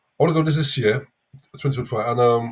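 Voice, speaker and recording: In a London accent, a man talks at a very fast pace with ordinary pitch variation. His voice is somewhat breathy. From London, England. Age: 50s. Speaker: livestream caller. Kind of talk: live Q&A discussion. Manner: halting.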